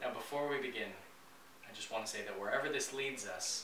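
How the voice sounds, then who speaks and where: A man speaks at a moderate pace while noticeable background noise goes on. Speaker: sketch actor presenting. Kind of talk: comedic scripted monologue. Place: home room.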